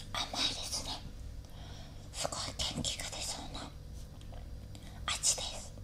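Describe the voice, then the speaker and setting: A woman speaks at a fairly slow pace. She leaves long, frequent pauses. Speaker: ASMR YouTuber. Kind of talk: casual ASMR eating talk. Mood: cheerful, playful. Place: home room.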